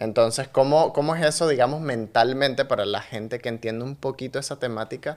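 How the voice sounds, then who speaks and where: Talking at a fairly quick pace with hardly any pauses, a man with a Nicaraguan accent keeps his medium pitch in a fairly even intonation. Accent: Nicaraguan accent, kept on purpose. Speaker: podcast host and actor. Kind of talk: casual interview chat.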